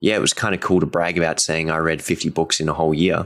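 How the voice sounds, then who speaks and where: A man with very deep, low pitch, monotone and flat, at a very fast pace. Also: very clean recording, silent background. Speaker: guitar teacher and podcast host. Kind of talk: solo podcast monologue. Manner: informal, unscripted.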